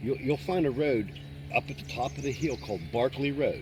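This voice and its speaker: Over noticeable background noise, a man with a Pittsburgh accent talks fairly quickly at a medium pitch. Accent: western Pennsylvania (Pittsburgh-area). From western Pennsylvania, Newcastle. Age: 60s. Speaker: local lake-goer. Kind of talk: casual chat. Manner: animated.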